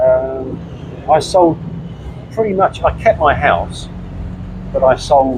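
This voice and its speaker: Speaking very slowly with an English accent, a man comes through noticeable background noise. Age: 60s. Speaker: retiree, former classic car importer. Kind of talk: interview. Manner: halting.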